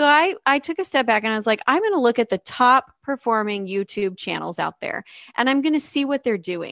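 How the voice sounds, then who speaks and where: A woman with an unremarkable speaking voice at fairly high pitch, dry and close with no echo, on a very clean recording with a silent background. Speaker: podcast co-host and YouTuber. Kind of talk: casual podcast conversation.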